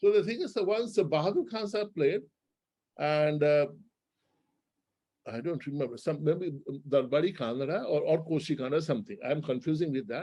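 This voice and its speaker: A man speaks with a dark, mellow tone and lively intonation. He leaves long, frequent pauses. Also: fairly high pitch for a man, moderate pace. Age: 60s. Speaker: classical musician and teacher. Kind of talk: interview talk, reminiscing. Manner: halting, many restarts.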